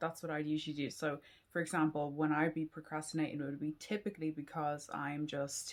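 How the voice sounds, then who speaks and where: Very deep and low in pitch, a woman with a Dublin accent speaks with fairly even intonation. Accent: Irish (Dublin). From Ireland. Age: 20s. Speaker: PhD student and YouTuber. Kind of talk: casual Q&A vlog.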